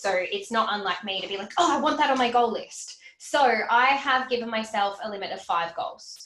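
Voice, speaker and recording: The pitch swings very widely, with noticeable background noise and audible room echo around the voice. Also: woman, fairly high pitch for a woman. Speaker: financial educator. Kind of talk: livestream Q&A. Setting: livestream. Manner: fast; animated.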